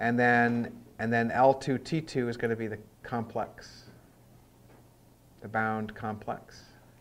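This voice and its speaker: On a very clean recording with a silent background, a man speaks fairly slowly in a monotone, flat way, with long, frequent pauses. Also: medium pitch for a man. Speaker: workshop instructor. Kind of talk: software tutorial.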